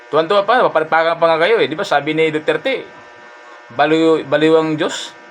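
With noticeable background noise, the speaker talks at a fairly quick pace in an animated tone. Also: man. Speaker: vlogger. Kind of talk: angry rant. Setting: live stream. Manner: heated.

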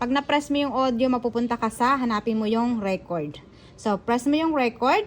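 A woman talks at a moderate pace with a high pitch and ordinary pitch variation. Her loudness stays very even throughout. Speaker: vlogger. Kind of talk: tutorial. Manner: halting.

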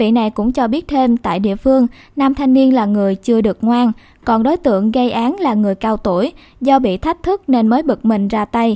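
An ordinary speaking voice from a woman, fairly high in pitch, at a moderate pace with ordinary pitch variation, on a very clean recording with a silent background. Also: dry, close sound with no echo. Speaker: news presenter. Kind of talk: news reading. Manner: formal.

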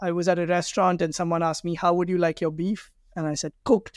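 A man's high-pitched, monotone, flat voice at a very fast pace, dry with no echo. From India, Delhi. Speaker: startup founder; guest. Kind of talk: interview. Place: office. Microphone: webcam.

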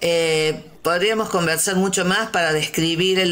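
A woman talking at a very slow pace. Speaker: community radio host. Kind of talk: interview.

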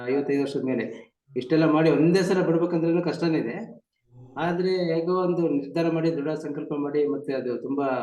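There is audible room echo as a man talks at a fairly high pitch for a man. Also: fairly even intonation. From Karnataka, Chikkamagaluru. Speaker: district judge sharing meditation experience. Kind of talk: testimony. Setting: video call.

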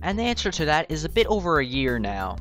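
A man's upbeat, fairly quick delivery over music in the background. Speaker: gaming YouTuber. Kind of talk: casual gaming commentary and Q&A.

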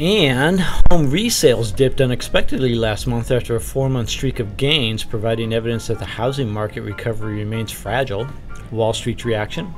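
Music in the background behind a man speaking with ordinary pitch variation. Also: medium pitch for a man, moderate pace. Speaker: business news presenter. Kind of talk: business news read. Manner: brisk, professional, occasionally wry.

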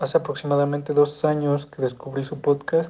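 A man with a fairly high pitch and a dark, mellow tone talks at a moderate pace. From Mexico, Hidalgo. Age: 20s. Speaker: caller. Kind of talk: recorded voice message.

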